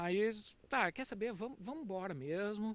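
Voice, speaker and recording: This man has a southern Brazilian accent and ordinary pitch variation. His pace is moderate. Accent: southern Brazilian (gaúcho). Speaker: teacher, immigrant. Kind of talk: casual chat.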